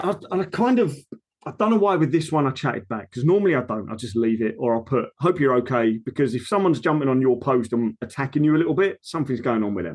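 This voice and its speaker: A man with a medium-pitched voice speaks at a very fast pace with lively intonation. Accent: Essex. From Essex, England. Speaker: personal trainer. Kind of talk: casual chat. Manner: animated.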